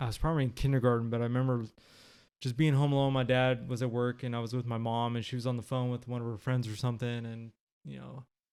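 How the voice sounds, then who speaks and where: A man's medium-pitched voice with a Californian accent, very fast in pace and monotone, flat in intonation. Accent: Californian American English. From Sacramento, California (South Sacramento). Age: 30s. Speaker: podcast guest. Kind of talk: interview testimony. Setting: at guest's home.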